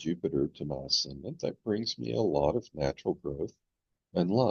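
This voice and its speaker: This man's pitch is very deep and low, with vocal fry. Even so, his intonation is lively. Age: 70s. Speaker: astrologer. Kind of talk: tutorial. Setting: screen-share recording.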